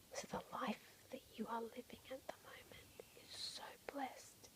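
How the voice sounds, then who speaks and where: Someone whispers in a calm tone. The pace is fairly slow. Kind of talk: ASMR soft-spoken ramble to camera, calming. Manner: soft-spoken, calm, reassuring.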